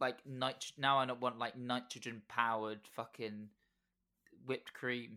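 The voice has a bright, sharp tone and moves at a fairly slow pace with monotone, flat intonation. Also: man, medium pitch for a man. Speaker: podcast host. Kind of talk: casual chat. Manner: rambling, joking.

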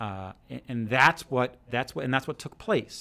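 A man's medium-pitched voice with ordinary pitch variation and an American accent. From New Jersey. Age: 40s. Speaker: school principal. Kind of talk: interview. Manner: hesitant, many fillers.

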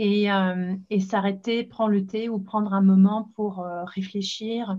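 Speaking at a very slow pace, a woman uses a monotone, flat intonation at medium pitch, her tone dark and mellow and somewhat breathy. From northern England, Leeds (Yorkshire). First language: English (speaking French). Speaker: podcast host and English school founder. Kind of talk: casual chat.

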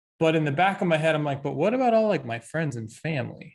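A man with a fairly high pitch, a somewhat breathy sound and lively intonation. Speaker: podcast host. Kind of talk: interview host.

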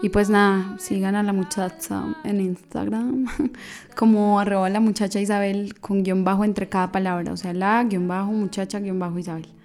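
Noticeable background noise runs beneath a woman whose intonation is monotone and flat. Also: medium pitch for a woman, moderate pace. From Colombia, Manizales. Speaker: singer-songwriter. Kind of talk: interview. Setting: radio studio.

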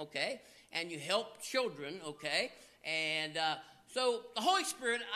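Here a man with an American accent uses a raised, projected voice with a bright, sharp tone. His pitch swings very widely. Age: 50s. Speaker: pastor. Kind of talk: sermon.

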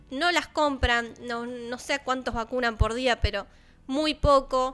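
Over music in the background, a woman with a high pitch speaks at a fairly slow pace with ordinary pitch variation. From Argentina, Balcarce (Buenos Aires province). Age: 20s. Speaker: radio host. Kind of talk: casual radio chat. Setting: studio.

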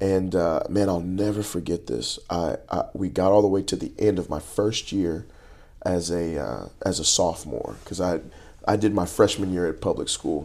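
Spoken at a moderate pace in a Texan accent, the voice shows ordinary pitch variation. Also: man, very deep, low pitch for a man, very clean recording, silent background. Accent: Texan American English. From Texas, Dallas area. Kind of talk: interview, personal testimony. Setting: in person, before a church event. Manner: halting, many false starts.

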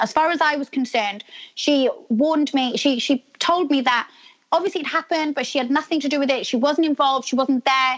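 With a British accent, a woman speaks at a moderate pace in a high pitch with ordinary pitch variation. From UK. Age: 30s. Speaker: reality TV star. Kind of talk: casual interview.

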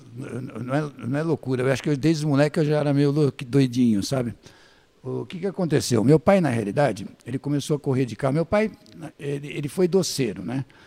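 The delivery moves at a fairly quick pace. It is a normal speaking voice, with ordinary pitch variation. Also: man, fairly high pitch for a man. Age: 60s. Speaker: former press officer and journalist. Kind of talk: casual interview storytelling.

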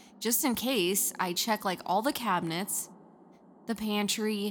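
A woman speaks at a medium pitch. Her pitch rises and falls in an ordinary way. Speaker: podcast co-host. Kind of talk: casual chat.

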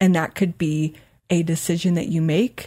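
In a very clean, dry, close recording with a silent background and no echo, a woman speaks at a moderate pace in a fairly low, dark, mellow, somewhat breathy voice with fairly even intonation. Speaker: life and weight loss coach, podcast host. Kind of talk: solo podcast monologue. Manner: casual, conversational; occasionally stumbles over words.

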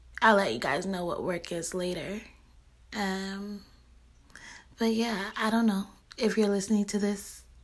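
A woman with an American accent, medium in pitch with fairly even intonation, at a fairly slow pace with long, frequent pauses. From US West Coast, San Francisco Bay Area. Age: 20s. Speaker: social media voice blogger. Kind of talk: casual monologue. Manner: hesitant, with fillers.

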